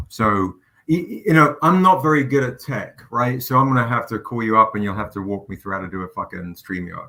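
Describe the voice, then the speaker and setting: With an animated, passionate tone that is bright and sharp, a man speaks at a medium pitch and a fairly quick pace with ordinary pitch variation. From England. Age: 40s. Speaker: comic book publisher and writer. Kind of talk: casual interview chat.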